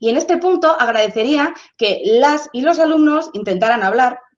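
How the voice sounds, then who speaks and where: A woman's voice with lively intonation. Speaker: sociologist. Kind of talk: lecture. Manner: fast; animated.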